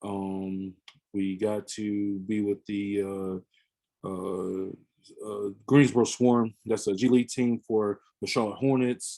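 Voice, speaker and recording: The voice has a dark, mellow tone and an American accent. Delivery is very slow, with fairly even intonation. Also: man, fairly low pitch for a man. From US South, Pensacola, Florida. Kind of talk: podcast interview. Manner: halting, many fillers.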